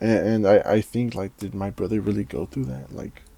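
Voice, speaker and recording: With a Spanish accent, a man speaks fairly quickly at a fairly low pitch, in a dark, mellow tone with ordinary pitch variation. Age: 20s. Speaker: vlogger. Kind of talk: personal monologue about grief. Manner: halting, many fillers and repeated words; casual.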